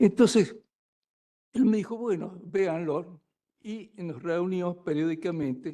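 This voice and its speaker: Here a man speaks in a high pitch with a dark, mellow tone. His pace is fairly slow and his intonation lively. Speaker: law professor. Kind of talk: lecture. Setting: lecture hall with live audience.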